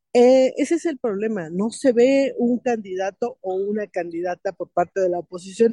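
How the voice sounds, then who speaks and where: A dark, mellow tone at a fairly slow pace, with ordinary pitch variation and a dry, close sound with no echo. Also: woman. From Mexico. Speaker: political analyst. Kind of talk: interview.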